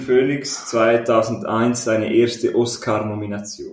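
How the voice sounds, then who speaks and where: At a very slow pace, the voice varies in pitch in an ordinary way. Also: man. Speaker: film podcast co-host. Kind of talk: casual chat. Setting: shared mic in military barracks.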